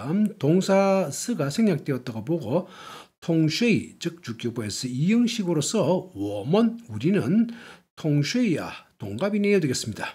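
Recorded very cleanly against a silent background, a man speaks at a fairly slow pace in a high pitch with a dark, mellow tone and very wide pitch swings. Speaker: language teacher. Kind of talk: lecture.

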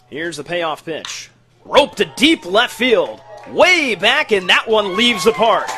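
A man with a high voice projects it loudly, swinging very widely in pitch. He speaks at a fairly slow pace over faint background music. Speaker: play-by-play sports announcer. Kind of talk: live baseball play-by-play broadcast call. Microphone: headset.

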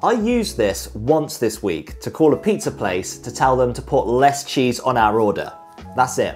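Faint music plays behind the speaker. He is a man talking at a moderate speed. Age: 20s. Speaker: lifestyle vlogger. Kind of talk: personal vlog monologue. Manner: casual. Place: home room. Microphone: lapel.

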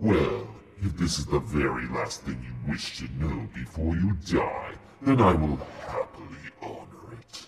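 A man does a put-on character voice at a moderate pace, pitched very deep and low, with a slight echo around it. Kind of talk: comedic villain Q&A to camera. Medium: role play. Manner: theatrical, gloating.

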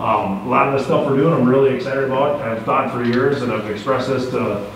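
Over light background noise and audible room echo, a man talks at a fairly quick pace with fairly even intonation. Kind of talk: meeting remarks. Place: meeting room. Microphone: camera far.

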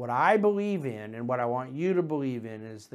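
A man's voice is heard. It sits fairly high. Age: 40s. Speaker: investment manager hosting a market commentary show. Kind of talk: solo market commentary monologue. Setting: studio. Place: office. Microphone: lapel.

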